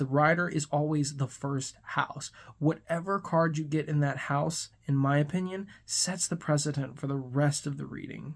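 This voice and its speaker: A very clean recording with a silent background and hardly any pauses. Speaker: podcast host, tarot and Lenormand reader. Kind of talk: tutorial. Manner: fast; casual, conversational.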